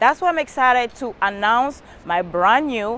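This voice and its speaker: A woman speaks with a Cameroonian accent. Her pace is fairly slow and her intonation lively. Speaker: motivational speaker. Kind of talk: promo pitch. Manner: animated.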